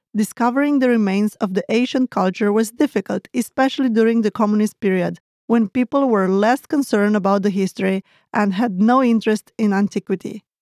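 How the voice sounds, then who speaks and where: At a fairly quick pace and fairly high pitch, a woman speaks with ordinary pitch variation and very even loudness, in a very clean recording with a silent background and a dry, close sound with no echo. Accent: Romanian. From Romania (Moldova region). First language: Romanian. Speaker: language teacher host. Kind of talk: educational lesson dialogue.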